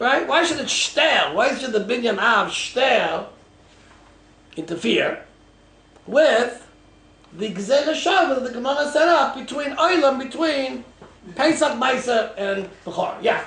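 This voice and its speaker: A man speaks at an extremely high pitch with lively intonation, a fairly slow pace and long, frequent pauses. Audible room echo and noticeable background noise fill the recording. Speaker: rabbi teaching a Talmud class. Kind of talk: lecture.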